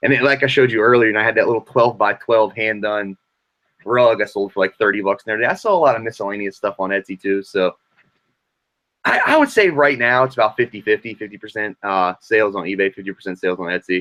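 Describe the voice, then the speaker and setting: A very fast American-accented man with a bright, sharp tone and a dry, close sound free of echo. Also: fairly low pitch for a man, ordinary pitch variation. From Virginia, Richmond. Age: 20s. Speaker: vintage clothing reseller. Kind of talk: casual interview. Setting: live stream.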